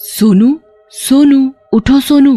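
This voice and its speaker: Faint music plays behind a woman doing a cartoonish character voice at a high pitch. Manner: scheming, menacing.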